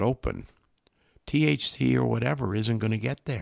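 A man's fairly low voice carries vocal fry and very wide pitch swings. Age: 70s. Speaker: nutrition and fatty acid expert. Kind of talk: podcast interview.

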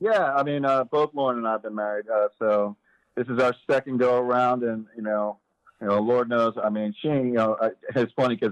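A normal speaking voice with fairly even intonation comes through in a dry, close sound with no echo. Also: man. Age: 40s. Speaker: prison inmate. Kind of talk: interview.

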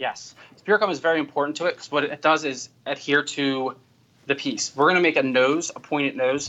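A man speaks at a fairly quick pace in an unremarkable speaking voice. His pitch sits fairly high, with fairly even intonation. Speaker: makeup artist. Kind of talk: tutorial. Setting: studio.

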